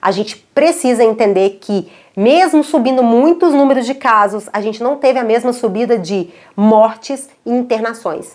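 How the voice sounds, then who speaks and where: A woman's fairly high, animated voice at a moderate pace, with lively intonation. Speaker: pediatrician. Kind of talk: educational talk to camera.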